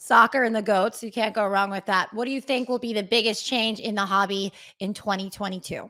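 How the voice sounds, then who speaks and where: On a very clean recording with a silent background, a woman with a fairly high pitch talks fairly quickly in an upbeat, bright, sharp tone. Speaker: interviewer. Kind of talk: interview. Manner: upbeat, quick.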